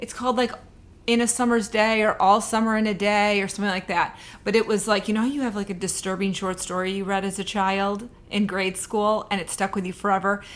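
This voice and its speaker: A woman talks at a fairly quick pace and medium pitch with monotone, flat intonation. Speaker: booktuber and romance author. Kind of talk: casual book review vlog. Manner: chatty, conversational.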